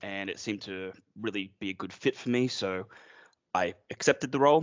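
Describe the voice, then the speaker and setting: With an Australian accent, a man talks fairly quickly. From Australia, near Brisbane, Queensland. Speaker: IT manager. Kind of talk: podcast interview.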